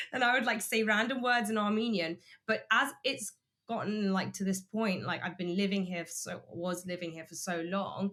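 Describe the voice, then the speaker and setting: A woman with a London accent has a bright, sharp tone and ordinary pitch variation. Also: medium pitch for a woman, moderate pace. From London, England. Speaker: YouTuber and graphic designer. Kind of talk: casual chat.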